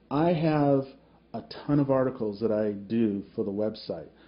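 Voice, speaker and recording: A man speaks at a medium pitch. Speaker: website owner and video commentator. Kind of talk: angry monologue commentary.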